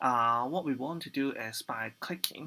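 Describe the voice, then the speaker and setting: A man speaks with a bright, sharp tone and ordinary pitch variation. The recording is very clean, with a silent background. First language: not English. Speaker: programming tutor. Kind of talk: tutorial. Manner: halting, many fillers.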